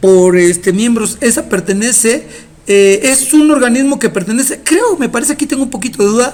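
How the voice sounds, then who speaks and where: A man speaks fairly quickly at an extremely high pitch, in an animated tone. His pitch varies in an ordinary way, with noticeable background noise. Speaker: teacher. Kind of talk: lecture. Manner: fast.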